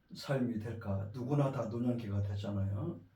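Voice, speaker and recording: A man speaks very slowly in a somewhat breathy voice with a dark, mellow tone. Room echo is audible. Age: 60s. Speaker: pastor. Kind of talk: sermon. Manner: halting.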